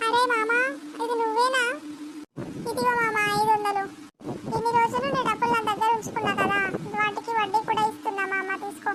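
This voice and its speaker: At a moderate pace, an extremely high-pitched cartoonish character voice comes through over light background noise. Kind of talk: animated comedy short. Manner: casual, affectionate slang.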